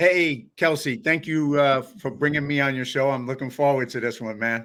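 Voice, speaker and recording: On a very clean recording with a silent background, a man with a New York accent speaks with ordinary pitch variation. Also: fairly high pitch for a man, moderate pace. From New York, South Bronx. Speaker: filmmaker and professor. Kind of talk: interview.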